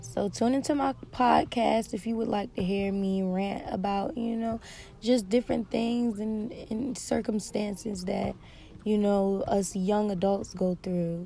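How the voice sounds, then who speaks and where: A woman with a somewhat breathy, dark and mellow tone speaks at a fairly slow pace, her medium pitch held in fairly even intonation. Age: 20s. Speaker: podcast host. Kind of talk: personal monologue. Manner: hesitant, with many fillers.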